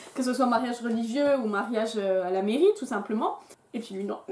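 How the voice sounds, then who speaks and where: Noticeable background noise and audible room echo accompany a voice moving at a moderate pace. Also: woman. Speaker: YouTuber. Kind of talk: casual chat.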